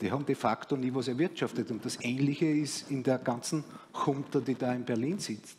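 A man talks at a moderate pace in a fairly high voice with ordinary pitch variation over light background noise. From Austria. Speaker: economist, former bond trader; guest. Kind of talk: panel discussion. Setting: stage. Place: stage. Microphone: headset.

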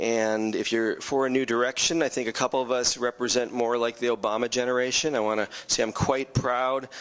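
A man with an ordinary speaking voice at a medium pitch, fairly quick pace and fairly even intonation. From California Bay Area, US; California. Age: 40s. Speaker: city council candidate; council candidate. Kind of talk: campaign closing statement. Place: meeting room. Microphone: podium.

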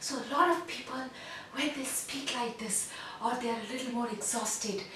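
In a put-on character voice, a female-sounding speaker talks breathily at a high pitch and a moderate pace, with a slight echo and loud background noise. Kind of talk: tutorial. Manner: weak, airy.

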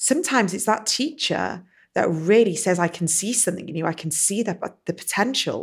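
A woman with an unremarkable speaking voice, captured in a very clean recording against a silent background, keeps a moderate pace and ordinary pitch variation. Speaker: wellbeing and lifestyle coach, podcast host. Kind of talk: interview question.

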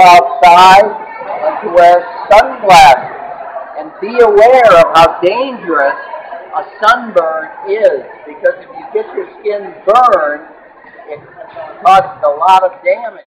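Speech comes at a very slow pace with long, frequent pauses. Crowd noise fills the background. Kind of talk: interview answer. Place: hall.

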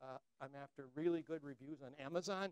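With an American accent, a man speaks with lively intonation in a dry recording with no echo. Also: quiet background. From United States. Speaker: philosopher and lecturer; lecturer. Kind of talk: lecture. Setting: stage with audience. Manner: conversational with many fillers. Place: classroom.

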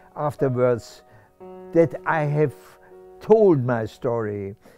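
A man talks very slowly, his pitch swinging very widely. The sound is dry with no echo, and faint music plays in the background. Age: 80s+. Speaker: Holocaust survivor. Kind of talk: interview answer. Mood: warm, animated storytelling. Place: home room.

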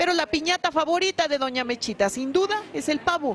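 Over noticeable background noise, a woman with a high pitch speaks at a moderate pace, her pitch swinging very widely. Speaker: TV news reporter. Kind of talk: TV news report narration.

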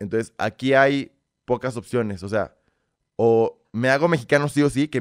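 A man speaks with ordinary pitch variation. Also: quiet background. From Belarus, raised in Mexico. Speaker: content creator. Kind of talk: casual chat. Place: studio. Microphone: studio mic.

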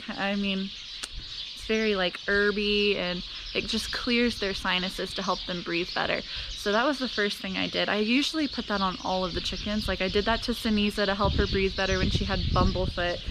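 A woman at a moderate pace over loud background noise. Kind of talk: casual vlog chat. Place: garden. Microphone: phone near.

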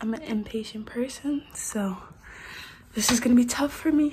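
There is light background noise. A woman speaks at a fairly slow pace with ordinary pitch variation. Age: young. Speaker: lifestyle vlogger. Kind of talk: casual vlog chat. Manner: casual, rambling with fillers. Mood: upbeat, excited. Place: home room. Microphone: phone near.

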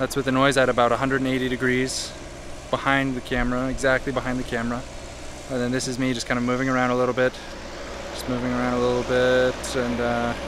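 A man talks at a very fast pace in monotone, flat intonation. The sound is dry with no echo, and background noise is noticeable. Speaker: video creator reviewing mics. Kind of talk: mic test commentary. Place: open country. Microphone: phone near.

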